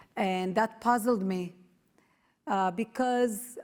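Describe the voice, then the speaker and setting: This is a woman speaking. She talks with an Israeli accent. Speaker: activist, founder of parents' movement. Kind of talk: speech to audience.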